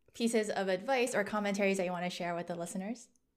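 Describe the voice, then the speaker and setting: Against a silent background on a very clean recording, a woman speaks at medium pitch with fairly even intonation. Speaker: podcast host. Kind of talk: casual interview chat. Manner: fast talker.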